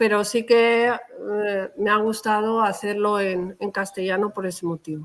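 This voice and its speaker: A plain, everyday voice talks at a fairly slow pace with hardly any pauses. The intonation is fairly even. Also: woman, medium pitch for a woman. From Valencia region, Spain (Xeraco), family from Toledo. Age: 50s. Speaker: novelist. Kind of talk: interview.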